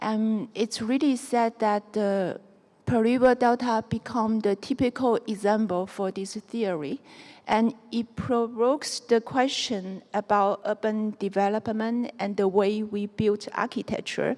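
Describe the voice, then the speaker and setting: In a Chinese accent, a woman with a fairly high pitch talks fairly slowly and with fairly even intonation, the sound dry and close with no echo. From southern China (Guangxi). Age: 40s. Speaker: architect. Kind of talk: lecture. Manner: halting.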